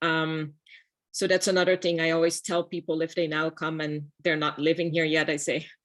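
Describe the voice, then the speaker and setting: In a very clean recording with a silent background, a woman with a fairly low pitch speaks at a moderate pace in a monotone, flat intonation. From Netherlands. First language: Dutch. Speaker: architect. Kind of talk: panel talk.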